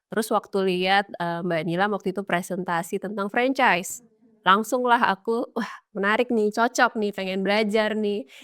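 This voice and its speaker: A woman talks at a medium pitch and a moderate pace, with ordinary pitch variation. The recording is very clean, with a silent background and a dry, close sound with no echo. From Indonesia, Kalimantan (Samarinda). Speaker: food business owner. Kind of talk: casual interview.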